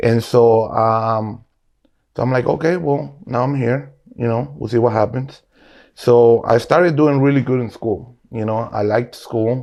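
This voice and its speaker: With a Spanish accent, a man talks at a moderate pace and medium pitch, with ordinary pitch variation. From Guatemala. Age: 40s. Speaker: restaurant owner. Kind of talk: casual interview.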